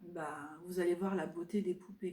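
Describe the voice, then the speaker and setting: A woman speaks at a medium pitch in a dark, mellow tone, her intonation flat and monotone and her voice somewhat breathy. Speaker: craft and lifestyle vlogger. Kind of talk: casual chat. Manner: soft-spoken; halting.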